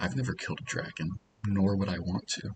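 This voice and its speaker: In a calm tone, a man with a very deep, low pitch and fairly even intonation speaks at a moderate pace, with a dry, close sound with no echo and noticeable background noise. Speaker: student podcast host. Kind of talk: casual ASMR-style podcast talk. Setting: hotel lobby, in public. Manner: calm, low-key.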